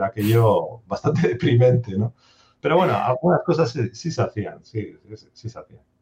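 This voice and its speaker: Somewhat breathy, a man talks at a moderate pace with lively intonation and big swings in loudness. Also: medium pitch for a man. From Basque Country, Spain (Durango, Biscay). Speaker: software developer. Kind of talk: interview.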